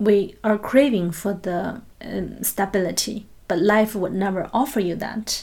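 In a Chinese accent, a woman speaks at a fairly slow pace with a medium pitch, fairly even intonation and a somewhat breathy voice. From China. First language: Mandarin Chinese. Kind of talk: interview.

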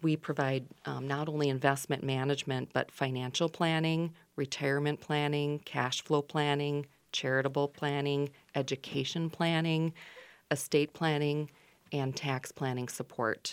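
A woman with a Minnesotan accent speaks at a moderate pace in a very deep, low voice with flat, monotone intonation, on a very clean recording with a silent background. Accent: Minnesota. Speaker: financial advisor. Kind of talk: radio interview. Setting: radio studio.

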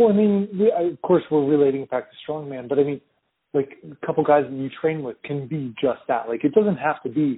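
A plain, everyday voice from a man, fairly high in pitch and fairly quick. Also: ordinary pitch variation. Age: 30s. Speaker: professional strongman. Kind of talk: casual interview conversation. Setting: phone call.

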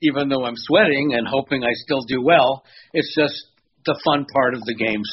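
This man has an unremarkable speaking voice, pitched in the medium range with ordinary pitch variation. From Toronto area, Canada. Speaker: pinball hobbyist, video maker.

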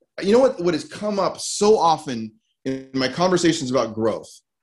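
Music plays behind a man speaking at a moderate pace. His pitch swings very widely. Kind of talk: motivational talk. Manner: repetitive, stumbling over words.

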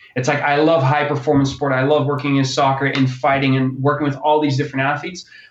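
A man's very fast, flat monotone with hardly any pauses, over noticeable background noise. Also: fairly high pitch for a man, very even loudness. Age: 20s. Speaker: strength and conditioning coach. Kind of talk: casual interview. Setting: phone or remote call.

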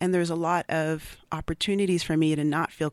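A woman with an American accent has an unremarkable speaking voice, fairly low in pitch with fairly even intonation. The recording is very clean, with a silent background and a dry, close sound with no echo. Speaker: poet. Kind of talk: poetry reading and interview. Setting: studio.

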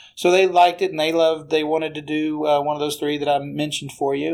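Rushing at a very fast pace, a man speaks in a fairly high voice. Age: 50s. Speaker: singer-songwriter and business author. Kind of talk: casual chat. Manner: halting.

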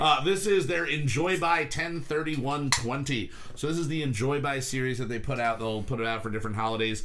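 A man speaks over noticeable background noise. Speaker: podcast host. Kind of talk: casual chat podcast. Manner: rambling, informal, joking.

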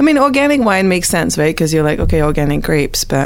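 The pace is very fast as a woman speaks. Noticeable background noise sits behind her. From Montreal, Quebec. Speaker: space scientist. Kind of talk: casual chat.

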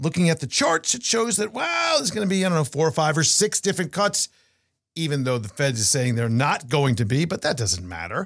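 The pace is fairly quick. Pitch swings very widely from moment to moment. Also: man, fairly high pitch for a man. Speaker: podcast host and portfolio manager. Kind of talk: casual chat. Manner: fast.

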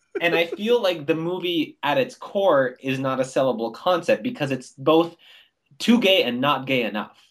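A man with a Canadian accent talks at a moderate pace. His fairly high pitch swings very widely. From Canada. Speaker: comedian and playwright. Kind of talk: casual chat.

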